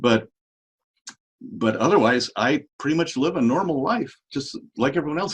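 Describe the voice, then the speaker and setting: Fairly high-pitched with vocal fry, a man speaks at a moderate pace as his pitch swings very widely. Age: 60s. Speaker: regenerative medicine doctor. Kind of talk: interview.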